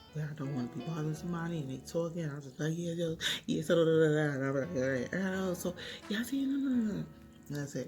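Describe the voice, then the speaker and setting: Very fast and somewhat breathy, a woman speaks with a very deep, low pitch and a dark, mellow tone. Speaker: vlogger. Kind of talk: casual vlog chat. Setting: at home in front of a window. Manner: laid back.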